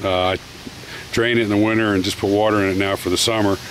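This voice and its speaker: The clip has a dry sound with no echo and light background noise. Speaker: tractor owner selling it. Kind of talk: casual walkaround commentary. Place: farm machine. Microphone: phone near.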